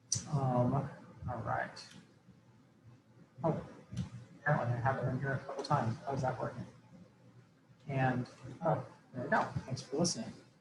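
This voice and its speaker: The delivery is fairly quick with fairly even intonation and long, frequent pauses, and an audible room echo surrounds it. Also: man, medium pitch for a man. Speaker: program evaluation consultant. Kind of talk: webinar presentation. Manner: fast.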